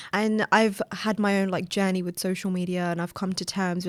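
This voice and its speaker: A woman with a British accent speaks at a medium pitch in a monotone, flat intonation, on a very clean recording with a silent background. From England, Afghan Sikh family. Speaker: author and poet. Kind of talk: casual interview chat. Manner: fast talker.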